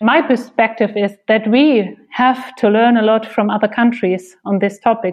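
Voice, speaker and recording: Speaking with a German accent, a woman uses a fairly high pitch and fairly even intonation at a moderate pace. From Germany. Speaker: podcast co-host, director. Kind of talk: interview.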